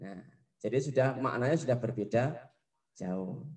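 Dark and mellow in tone, a man's somewhat breathy voice moves at a moderate pace through very wide pitch swings. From Indonesia. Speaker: primary school Arabic teacher. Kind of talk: lesson for children. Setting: classroom. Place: studio. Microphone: handheld.

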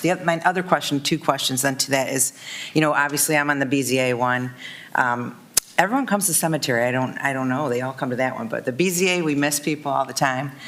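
A woman's very deep, low voice at a fairly quick pace, ordinary pitch variation, and noticeable background noise. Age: 50s. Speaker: city commissioner. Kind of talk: public meeting discussion. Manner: halting.

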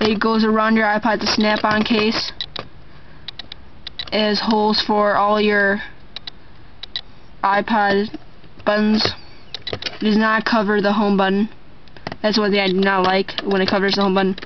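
A woman's monotone, flat delivery at a moderate pace, broken by long, frequent pauses, over noticeable background noise. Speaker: product reviewer. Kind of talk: casual product review. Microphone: camera far.

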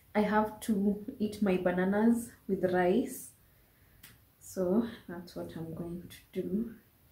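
Speaking slowly at a medium pitch, a woman with a dark, mellow tone keeps her intonation fairly even amid audible room echo.

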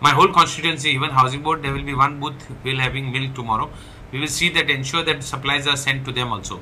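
Over light background noise, a man talks at a fairly quick pace. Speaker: local politician. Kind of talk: public appeal statement. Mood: earnest, urgent. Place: home room. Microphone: phone near.

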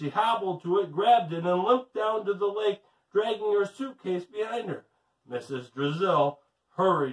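Set against a quiet background, the unforced reading voice moves with lively intonation.

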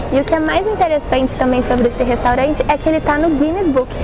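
A woman speaks with clear music in the background. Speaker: presenter. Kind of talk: casual vlog chat. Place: hall. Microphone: phone near.

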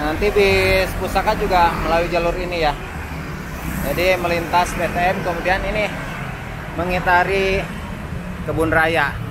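A man at a fairly slow pace, with long, frequent pauses over loud background noise. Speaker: travel vlogger. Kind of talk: travel commentary. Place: street.

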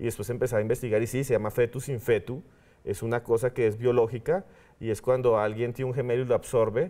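Here a man talks at a very fast pace with fairly even intonation. His tone is dark and mellow. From Colombia, Bogotá. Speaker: TV presenter and professor; TV guest. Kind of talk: interview. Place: studio. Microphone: lapel.

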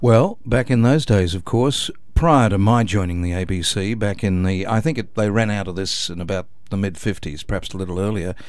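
A man with an Australian accent, fairly low in pitch with ordinary variation, at a fairly quick pace. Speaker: announcer, voice-over artist. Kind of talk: radio interview answer. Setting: radio studio.

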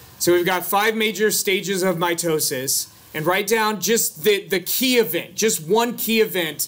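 We hear a man talking. He goes at a moderate pace. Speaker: biology instructor. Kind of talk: lecture. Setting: classroom. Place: classroom.

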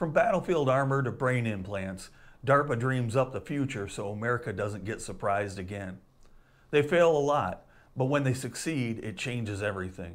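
Lively intonation marks a man's speech, delivered at a moderate pace. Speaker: history channel host. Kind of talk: scripted educational short. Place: home room. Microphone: lapel.

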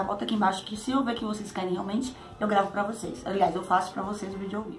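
A woman speaks with a fairly high pitch. Light background noise sits behind her. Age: 30s. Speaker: YouTuber. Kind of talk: casual Q&A vlog. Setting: at home. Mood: cheerful, sometimes laughing. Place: home room. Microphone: phone near.

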